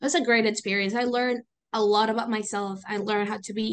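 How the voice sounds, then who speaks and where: In a Venezuelan accent, a woman talks with a fairly high pitch. Her intonation stays fairly even. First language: Spanish. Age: 20s. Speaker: student and youth volunteer. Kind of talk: interview conversation.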